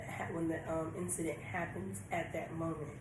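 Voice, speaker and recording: Noticeable background noise and audible room echo around a woman talking at a moderate pace. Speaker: tarot reader. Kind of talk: tarot reading. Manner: some stuttering.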